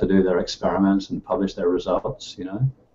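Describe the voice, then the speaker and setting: This man speaks with a Northern Irish accent and a fairly low pitch. His pitch varies in an ordinary way. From Northern Ireland. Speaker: computer science professor. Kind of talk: interview.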